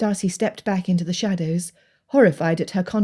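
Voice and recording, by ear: Someone reads aloud. The voice sounds natural.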